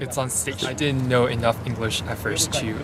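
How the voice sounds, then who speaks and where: Over noticeable background noise and audible room echo, a man talks. His pace is fairly quick and his intonation fairly even. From China. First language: Chinese local language. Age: young. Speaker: student. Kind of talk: interview. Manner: halting, many fillers.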